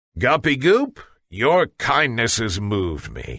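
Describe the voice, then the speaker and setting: A man's put-on character voice at a medium pitch, delivered at a fairly slow pace. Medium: read story. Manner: menacing.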